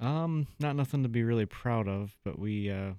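A soft-spoken man with a fairly low pitch and ordinary pitch variation is heard on a very clean recording with a silent background. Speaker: drag racing driver. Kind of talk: casual chat. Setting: radio studio. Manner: calm.

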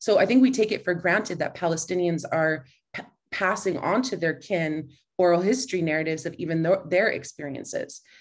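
A woman with a plain, everyday voice, fairly low in pitch, at a fairly quick pace with ordinary pitch variation. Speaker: professor. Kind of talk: academic panel presentation. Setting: video call.

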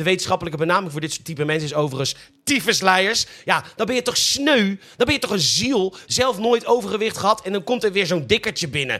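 Using a raised, projected voice, a high-pitched man talks at a very fast pace with lively intonation. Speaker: podcast host, comedic news presenter. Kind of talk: satirical news monologue.

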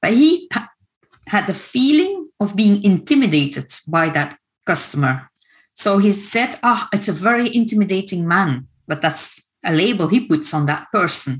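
A woman's somewhat breathy voice at medium pitch and a moderate pace, with very wide pitch swings. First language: Dutch. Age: 50s. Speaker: coach and trauma trainer. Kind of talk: online workshop presentation. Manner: hesitant, many fillers.

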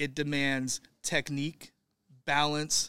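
Speaking at a very slow pace, a man with an American accent has a fairly high pitch. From Northern California. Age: 40s. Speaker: gym founder and owner. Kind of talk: casual interview.

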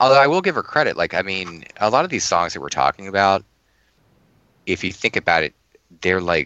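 A man with a fairly low pitch and a plain, everyday voice talks at a fairly quick pace with lively intonation. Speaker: podcast co-host. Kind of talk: casual chat.

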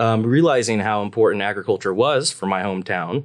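A man with a normal speaking voice, medium pitch, ordinary pitch variation and a moderate pace, over a quiet background. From US Midwest, Nebraska. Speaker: PhD student researcher. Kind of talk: interview.

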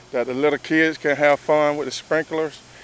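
A man in a Southern US accent talks with fairly even intonation, the sound dry and close with no echo and noticeable background noise. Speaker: firefighter. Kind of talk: casual interview. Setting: outdoors.

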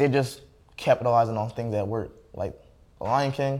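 A man's medium-pitched voice at a moderate pace, on a very clean recording with a silent background. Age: young. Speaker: college student. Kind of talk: casual chat. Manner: halting.

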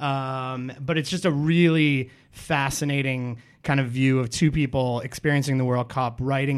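A man with an ordinary speaking voice at a medium pitch, recorded very cleanly against a silent background. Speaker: podcast co-host. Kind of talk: casual chat. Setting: studio. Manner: casual, joking.

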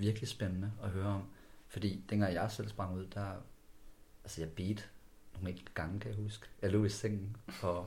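A man with a dark, mellow tone speaks at a fairly low pitch in a flat monotone, somewhat breathy. He leaves long, frequent pauses, and room echo can be heard. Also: moderate pace. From West Jutland, Denmark (Skjern/Ringkøbing area). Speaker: podcast host. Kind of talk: interview.

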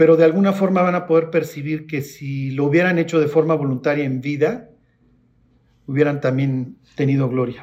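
Here a man has a normal speaking voice with fairly high pitch. He talks at a moderate pace with ordinary pitch variation. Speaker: preacher. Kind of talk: sermon with Bible teaching, Q&A and closing prayer. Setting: church. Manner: informal and conversational; teacherly.

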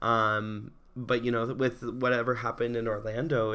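On a very clean recording with a silent background, a man with an American accent speaks in an animated tone at medium pitch and a moderate pace. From rural Oregon, near Portland. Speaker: podcast host. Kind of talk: casual solo monologue. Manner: animated, many fillers.

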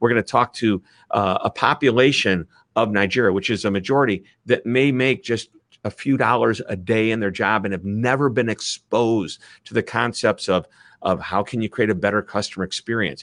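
An animated, enthusiastic man with a Midwestern US accent and a medium pitch. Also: ordinary pitch variation, moderate pace, dry, close sound with no echo. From US Midwest. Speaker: author and speaker. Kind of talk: interview conversation. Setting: video call.

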